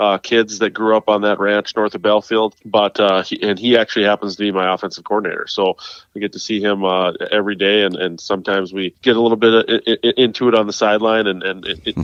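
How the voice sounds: Talking at a fast pace, a man uses a fairly low pitch with little pitch movement, a clear, smooth and fairly bright tone, and a dry, close sound with no echo.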